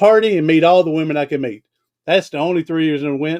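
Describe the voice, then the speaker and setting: Loud, very fast man, fairly high in pitch, in a dry, close sound with no echo. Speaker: podcast host. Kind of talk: storytelling testimony. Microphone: USB condenser mic, not held close to face.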